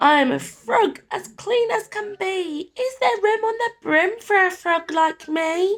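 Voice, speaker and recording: In a put-on character voice, someone speaks croaky and squeaky at a fairly slow pace. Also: woman, extremely high pitch for a woman. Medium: read story.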